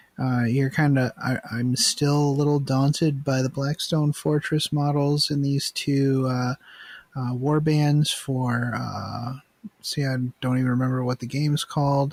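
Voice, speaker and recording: Quietly and at a fairly slow pace, a man speaks in a fairly high, monotone voice with flat intonation. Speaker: podcast host. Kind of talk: casual chat. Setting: online call recording. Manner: quiet, subdued; halting, many fillers.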